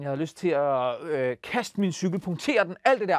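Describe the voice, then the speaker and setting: Lively intonation and an animated tone mark this man's delivery at a moderate pace. The sound is dry with no echo, and the background is quiet. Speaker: children's TV host. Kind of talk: casual presenting to kids. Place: studio. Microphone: lapel.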